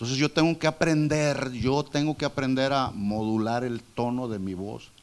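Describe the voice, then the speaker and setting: The man's voice sits at a medium pitch with ordinary pitch variation. He keeps a moderate pace. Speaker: preacher. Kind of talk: sermon. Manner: loud.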